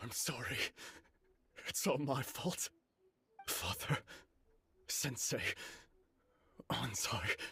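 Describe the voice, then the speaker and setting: Whispering in a put-on character voice, a man talks at a very slow pace with long, frequent pauses while music plays in the background. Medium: video game.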